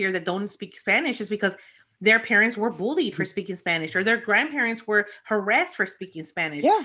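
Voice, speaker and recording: In a Chicago accent, the speaker moves at a fairly quick pace with a bright, sharp tone, lively intonation and an animated tone on a very clean recording with a silent background. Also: woman. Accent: Chicago American English. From Chicago, US Midwest. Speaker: podcast co-host. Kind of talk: casual chat.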